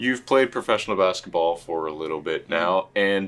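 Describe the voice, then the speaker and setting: A man talks at a moderate pace with lively intonation in a normal speaking voice. The recording is very clean, with a silent background. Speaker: sports commentator. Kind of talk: post-game style interview questions.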